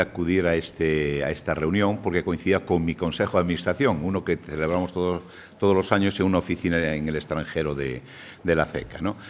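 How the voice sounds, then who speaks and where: The speaker has a Galician accent and moves at a fairly quick pace. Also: man. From Galicia, Spain. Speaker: savings bank federation president, speaker. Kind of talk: conference lecture. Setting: seminar with audience.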